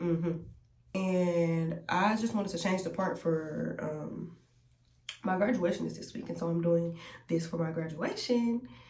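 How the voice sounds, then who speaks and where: In a room with audible echo and noticeable background noise, a woman speaks fairly slowly at a fairly low pitch with ordinary pitch variation. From US South, Columbus, Georgia. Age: 20s. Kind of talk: testimony. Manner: casual, chatty.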